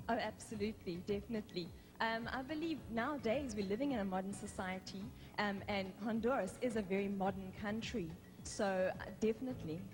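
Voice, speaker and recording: At a fairly quick pace, a woman speaks at a medium pitch with ordinary pitch variation, and audible room echo surrounds her voice. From South Africa. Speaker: beauty pageant contestant. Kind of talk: live pageant interview.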